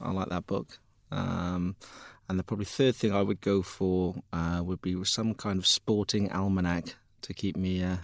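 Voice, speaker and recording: In a Cardiff accent, a man talks at a moderate pace with a very deep, low pitch. The sound is dry and close, with no echo. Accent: Welsh (Cardiff). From Wales, Cardiff. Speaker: tech company founder and CEO. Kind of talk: interview. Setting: studio.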